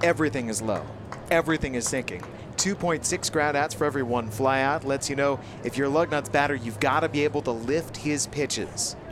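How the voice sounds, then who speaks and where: Over music in the background, a man speaks fairly quickly at a fairly high pitch with ordinary pitch variation. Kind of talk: color commentary alongside play-by-play. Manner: conversational, analytical, relaxed.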